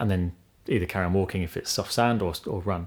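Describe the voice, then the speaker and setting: In an English accent, a man talks at a fairly low pitch. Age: 30s. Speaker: podcast co-host and ultramarathon runner. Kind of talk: casual interview.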